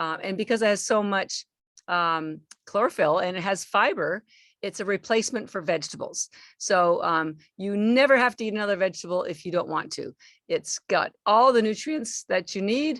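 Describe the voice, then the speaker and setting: A woman speaks at a moderate pace and a medium pitch, in a normal speaking voice. The sound is dry and close with no echo, on a very clean recording with a silent background. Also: lively intonation. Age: 60s. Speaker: supplement company founder. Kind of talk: podcast interview.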